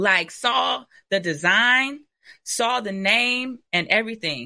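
Bright and sharp in tone, a woman speaks with an American accent and vocal fry. Her pitch swings very widely. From Michigan (Ypsilanti, near Detroit). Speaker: entrepreneur, clothing brand owner. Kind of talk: interview.

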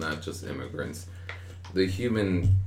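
A man speaks in a very deep, low pitch. His somewhat breathy voice moves at a fairly slow pace. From Queens, New York. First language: Spanish. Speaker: army soldier, first-generation American. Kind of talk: casual chat.

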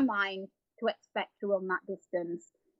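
Her speech moves at a moderate pace. The woman talks with an English accent. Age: 50s. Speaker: marathon runner and animal sanctuary owner. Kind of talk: interview.

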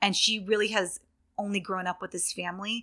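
In a Californian accent, a woman with a medium pitch and a bright, sharp tone speaks at a moderate pace with monotone, flat intonation on a very clean recording with a silent background. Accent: Californian American. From Northern California, near Sacramento. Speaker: young adult fiction author. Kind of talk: interview. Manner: hesitant, many fillers.

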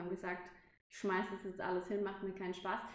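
A woman speaks at medium pitch. Audible room echo and noticeable background noise surround her voice. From Baden-Württemberg, Pforzheim. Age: 20s. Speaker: hotel events manager. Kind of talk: interview.

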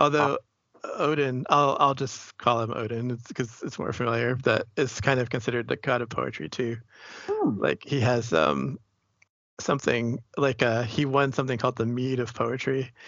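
A normal speaking voice from a man, medium in pitch, moderate in pace, with ordinary pitch variation. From Boston, US. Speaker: poet and writer. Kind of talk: interview.

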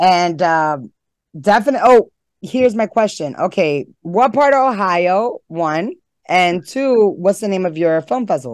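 A woman speaks at a fairly slow pace with a medium pitch. Her voice makes very wide pitch swings. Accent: New York. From New York City (Harlem). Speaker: horror host and filmmaker. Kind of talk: casual interview chat.

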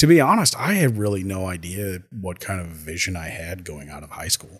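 A man with a very deep, low voice speaks at a fairly quick pace, somewhat breathy, on a very clean recording with a silent background. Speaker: podcaster. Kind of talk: casual chat. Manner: relaxed, conversational.

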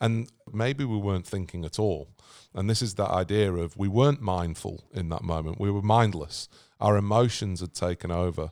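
On a very clean recording with a silent background, a man with a British accent talks at a moderate pace in a fairly low pitch with ordinary pitch variation. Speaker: podcast host and author. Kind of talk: casual interview chat. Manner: conversational, hesitant with fillers.

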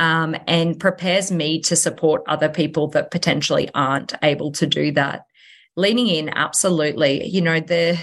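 The speaker has an Australian accent and talks at a moderate pace. Pitch varies in an ordinary way against a quiet background. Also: woman. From Australia, Sunshine Coast Queensland. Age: 30s. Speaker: real estate agent. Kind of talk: interview.

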